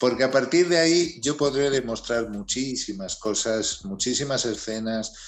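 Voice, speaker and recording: Using an unremarkable speaking voice, a man at medium pitch talks at a fairly slow pace with hardly any pauses and ordinary pitch variation. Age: 60s. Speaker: music manager. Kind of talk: interview.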